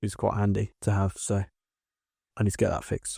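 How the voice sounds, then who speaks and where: A man with an English accent and a fairly low pitch, dry and close with no echo, in a very clean recording against a silent background. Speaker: car podcast co-host. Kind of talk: casual chat.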